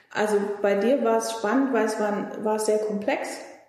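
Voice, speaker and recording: In a room with audible echo, a woman talks at a moderate pace and medium pitch. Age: 40s. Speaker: naturopath practising Chinese medicine. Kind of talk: casual interview.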